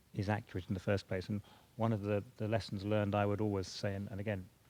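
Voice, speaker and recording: With a British accent, a man speaks at a fairly low pitch with fairly even intonation. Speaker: government border data official. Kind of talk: panel discussion.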